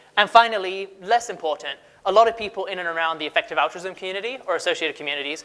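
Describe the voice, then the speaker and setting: A man's high, bright, sharp voice with a non-native accent, raised and projected, at a very fast pace. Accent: foreign. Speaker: conference speaker, research manager. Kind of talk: conference talk. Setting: stage with audience. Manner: casual.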